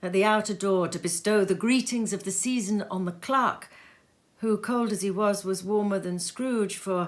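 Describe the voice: The clip is simply plain reading aloud.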